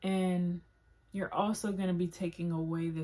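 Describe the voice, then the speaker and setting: A woman speaks at a fairly slow pace in a fairly low, somewhat breathy voice with a dark, mellow tone and monotone, flat intonation. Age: 20s. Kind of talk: casual talk to camera. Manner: casual, filler-heavy.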